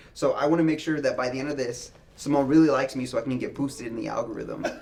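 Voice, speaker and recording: Talking very fast with an American accent, a man is heard over noticeable background noise. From Texas, San Antonio. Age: 20s. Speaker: YouTuber. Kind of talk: casual chat.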